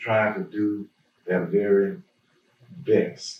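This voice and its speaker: A somewhat breathy voice in an Alabama accent, very slow, with very wide pitch swings. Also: man. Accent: US South, Alabama. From Birmingham, Alabama. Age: 80s+. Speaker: pastor. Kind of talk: oral history interview. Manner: halting, many fillers.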